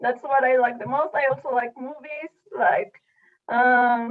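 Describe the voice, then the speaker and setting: A woman's high voice with a Spanish accent at a moderate pace. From Mexico City. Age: 20s. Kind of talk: casual chat. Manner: hesitant.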